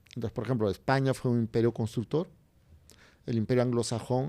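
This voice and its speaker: A man's dark, mellow voice at a medium pitch, with ordinary pitch variation, on a very clean recording with a silent background. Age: 50s. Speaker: writer and journalist. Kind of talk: interview conversation.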